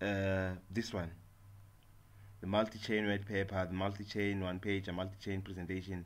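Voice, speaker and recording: Amid audible room echo, a man with a fairly low pitch talks at a moderate pace in a monotone, flat intonation, with long, frequent pauses. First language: not English. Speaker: software tutorial maker. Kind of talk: tutorial. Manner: halting, many fillers and repetitions.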